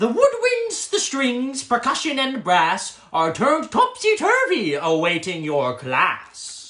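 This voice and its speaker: Using a put-on character voice at an extremely high pitch, a man talks at a fairly slow pace with hardly any pauses. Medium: read story. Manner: teasing, singsong.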